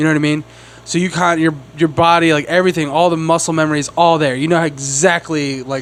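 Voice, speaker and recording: With noticeable background noise, a man mumbles at a very fast pace and a fairly high pitch. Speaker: comedy podcast host. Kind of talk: casual chat. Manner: mumbling, slurred enunciation; animated, filler-heavy.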